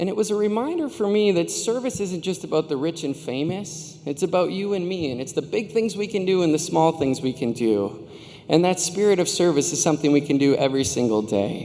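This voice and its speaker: Talking in a high voice at a fairly quick pace with hardly any pauses, a man with an American accent uses lively intonation over noticeable background noise. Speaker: commencement speaker. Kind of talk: commencement speech. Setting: stage with audience. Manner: fast; animated.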